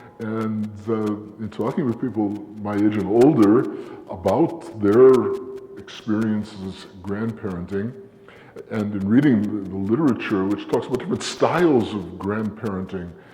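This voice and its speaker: At a moderate pace, a man speaks with a fairly low pitch and ordinary pitch variation, with audible room echo and noticeable background noise. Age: 60s. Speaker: academic presenter. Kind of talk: conference talk. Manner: halting.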